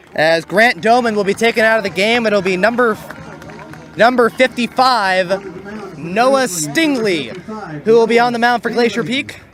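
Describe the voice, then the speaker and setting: Crowd noise behind a man with a high pitch, ordinary pitch variation and a fairly slow pace. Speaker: baseball play-by-play announcer. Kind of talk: live commentary. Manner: stutters at times.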